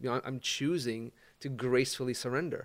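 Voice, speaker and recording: Very clean and silent in the background, the recording carries a man's unremarkable speaking voice at medium pitch. He talks at a moderate pace with fairly even intonation. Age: 50s. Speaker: life coach. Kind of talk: casual chat.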